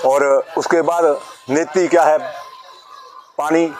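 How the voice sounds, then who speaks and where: Noticeable background noise fills the clip. A man's high-pitched voice carries over it. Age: 70s. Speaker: yoga teacher. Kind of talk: instructional talk.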